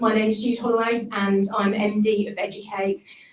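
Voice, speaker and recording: Speaking at a moderate pace, a woman with a fairly high pitch is heard over audible room echo. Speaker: managing director of training company. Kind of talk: ceremony speech. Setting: stage with audience, venue.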